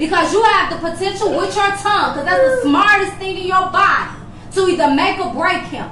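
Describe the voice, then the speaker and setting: A woman uses a raised, projected voice at an extremely high pitch. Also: ordinary pitch variation, fairly quick pace. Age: 40s. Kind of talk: casual chat; motivational speech.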